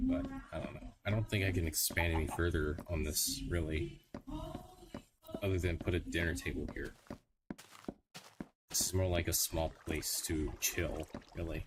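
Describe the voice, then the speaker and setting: An American accent, with long, frequent pauses. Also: man, very deep, low pitch for a man, ordinary pitch variation, moderate pace. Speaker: gaming streamer. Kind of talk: casual live-stream commentary while gaming. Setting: home livestream on a laptop. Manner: casual, hesitant, thinking aloud. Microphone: laptop microphone.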